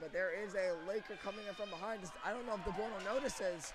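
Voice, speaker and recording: Talking at a very fast pace with an American accent, a man with a high pitch and ordinary pitch variation is heard over noticeable background noise and audible room echo. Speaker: hockey play-by-play commentator. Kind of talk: live commentary. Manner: fast, excited play-by-play.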